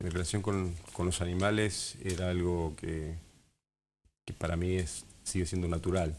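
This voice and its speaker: A man speaks with a very deep, low pitch in a monotone, flat intonation. His pace is fairly slow, with light background noise. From Argentina, Patagonia (Esquel, Andes); Patagonia, Argentina. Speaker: wildlife ranger; interviewee. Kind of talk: TV interview. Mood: calm, reflective. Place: studio. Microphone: lapel.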